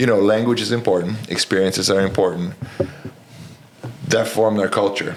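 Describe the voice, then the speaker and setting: A man with a Romanian accent speaks at a fairly low pitch with fairly even intonation over noticeable background noise. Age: 40s. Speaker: college basketball coach. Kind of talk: podcast interview. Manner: direct, to the point.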